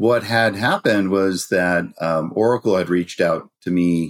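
In a dry, close sound with no echo, a man with a Californian accent speaks at a fairly slow pace with fairly even intonation. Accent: American (Californian). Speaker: cybersecurity company founder and CEO. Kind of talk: podcast interview.

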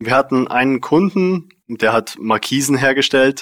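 Fairly slow speech from a man with ordinary pitch variation, dry and close with no echo, on a very clean recording with a silent background. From Bavarian Swabia, Germany (Unterallgäu, near Memmingen). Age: 20s. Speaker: software tech lead. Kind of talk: casual interview. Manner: hesitant, many fillers.

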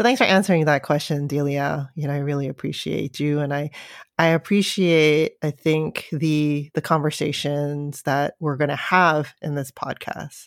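A woman with a Californian accent speaks at a very deep, low pitch and a moderate pace, her intonation fairly even. The recording is very clean with a silent background and a dry, close sound with no echo. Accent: Californian American English. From US West Coast, San Francisco. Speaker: podcast co-host, parent. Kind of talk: casual chat.

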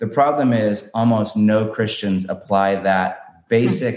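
Fairly low in pitch with ordinary pitch variation, a man has an unremarkable speaking voice. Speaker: pastor and author. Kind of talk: casual interview conversation.

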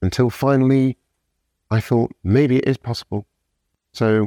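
In a very clean recording with a silent background and a dry, close sound with no echo, a man speaks. His dark, mellow tone carries a British accent. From UK. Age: 50s. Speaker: sober coach. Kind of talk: casual interview. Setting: in person.

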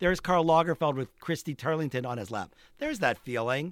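An ordinary speaking voice, a man with an American accent talks at a fairly quick pace in a fairly high pitch, recorded very cleanly against a silent background with a dry, close sound and no echo. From Pittsburgh, Pennsylvania. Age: 60s. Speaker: photographer. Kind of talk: interview conversation. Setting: studio.

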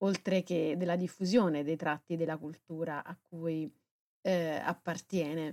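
Fairly low and dark, mellow in tone, a woman talks at a moderate pace with fairly even intonation, recorded dry and close with no echo. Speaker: podcast host. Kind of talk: radio-style presentation.

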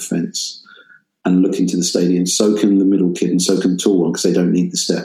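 Music plays in the background behind a man speaking at a fairly low pitch. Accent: English. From England. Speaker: professor and music industry professional. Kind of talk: interview conversation.

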